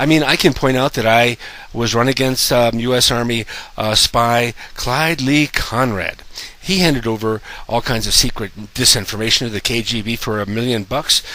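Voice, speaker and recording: A man speaks at a moderate pace with ordinary pitch variation. Noticeable background noise runs behind him. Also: medium pitch for a man. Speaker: conspiracy video maker. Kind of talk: monologue to camera. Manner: halting, many fillers.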